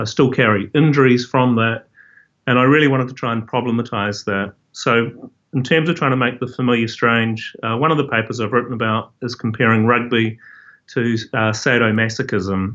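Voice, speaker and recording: A man with a New Zealand accent at a medium pitch and moderate pace, with fairly even intonation. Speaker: professor. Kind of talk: interview. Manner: halting.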